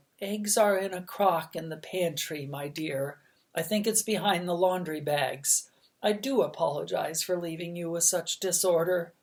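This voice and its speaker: This is a put-on character voice at middle pitch. The pace is moderate. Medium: read story. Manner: gentle, courteous.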